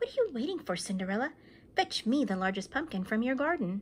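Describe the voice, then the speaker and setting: Against clear background noise, a woman puts on a high-pitched character voice and talks at a very fast pace. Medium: read story.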